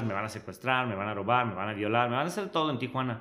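A man's medium-pitched voice in a Monterrey accent, bright and sharp in tone, with lively intonation and audible room echo. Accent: sounds very local to Monterrey. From Switzerland. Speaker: social media influencer. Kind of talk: casual interview.

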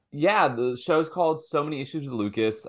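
Against a quiet background, a man talks at a moderate pace in an unremarkable speaking voice with ordinary pitch variation. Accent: American. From US, Washington DC. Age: 20s. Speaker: comedian and show host. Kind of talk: casual chat.

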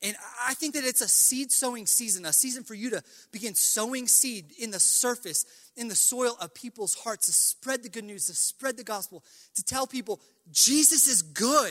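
At a moderate pace, a man projects a raised voice at an extremely high pitch, bright and sharp in tone with ordinary pitch variation, in a dry, close recording with no echo. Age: 20s. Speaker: pastor. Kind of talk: farewell testimony; sermon.

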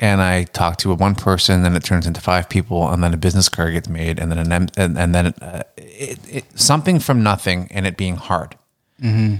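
A man talks at a fairly quick pace in a very deep, low pitch with ordinary pitch variation. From Ontario, Canada. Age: 40s. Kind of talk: casual interview chat. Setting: speakeasy room attached to an Airbnb.

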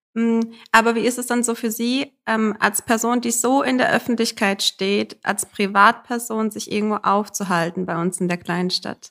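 Using an ordinary speaking voice, a woman speaks at a fairly slow pace with hardly any pauses, a fairly high pitch and ordinary pitch variation. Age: young. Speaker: podcast host. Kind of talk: interview. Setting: town hall office.

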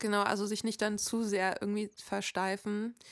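In a very clean recording with a silent background and a dry, close sound with no echo, a woman speaks at a moderate pace with flat, monotone intonation. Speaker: podcast host and musician. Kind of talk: casual chat.

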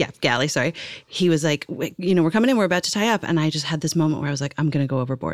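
With a Canadian accent, a woman talks at a very fast pace in a very deep, low voice, her pitch varying in an ordinary way. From small-town Canada, Irish-Canadian family. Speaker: podcast host and actor. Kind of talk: casual chat.

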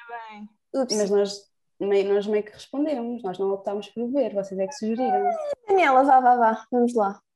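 A woman with an ordinary speaking voice, fairly high in pitch, talks at a moderate pace with ordinary pitch variation and big swings in loudness. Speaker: student podcast host. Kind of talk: casual chat.

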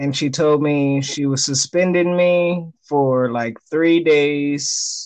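With fairly even intonation and a fairly high pitch, a man has an unremarkable speaking voice. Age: 20s. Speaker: podcast guest. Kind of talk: casual chat.

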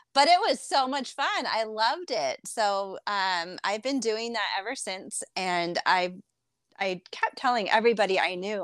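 In an American accent, a woman with medium pitch and an ordinary speaking voice talks at a fairly slow pace with lively intonation. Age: 40s. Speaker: fitness enthusiast. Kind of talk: casual chat.

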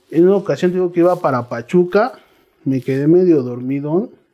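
Using a dark, mellow tone, a man speaks at a fairly quick pace with ordinary pitch variation. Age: 30s. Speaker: recovering addict. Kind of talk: testimony. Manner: casual, slangy.

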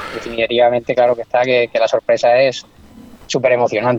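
Over noticeable background noise, a man talks at a fairly quick pace in a medium pitch, his intonation monotone and flat. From Extremadura, Spain. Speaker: angler. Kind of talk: casual chat.

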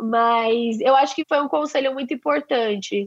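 A woman talks with a strong São Paulo accent. Her pitch is fairly high. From Brazil, São Paulo. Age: 20s. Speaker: advertising professional. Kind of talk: interview. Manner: slangy, laughs often.

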